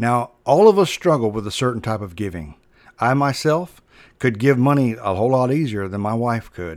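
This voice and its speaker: A man with a normal speaking voice talks at a moderate pace and medium pitch. His intonation is lively, and the recording is very clean with a silent background. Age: 40s. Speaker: preacher. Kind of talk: sermon.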